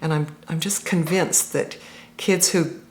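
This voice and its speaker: A woman's fairly low voice, an ordinary speaking voice. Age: 50s. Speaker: interviewee in documentary about text games. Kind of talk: documentary interview.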